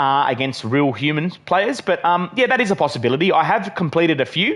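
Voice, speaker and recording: Lively intonation from a man with an Australian accent. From Western Australia. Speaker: gaming live streamer. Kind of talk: live stream chat and gameplay commentary. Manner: casual, filler-heavy.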